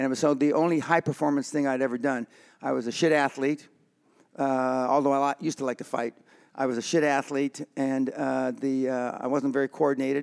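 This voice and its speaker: A man's fairly high voice with monotone, flat intonation, in a dry, close sound with no echo. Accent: Californian. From East Los Angeles. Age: 70s. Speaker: businessman. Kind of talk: podcast interview. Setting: boxing gym. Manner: halting, many fillers.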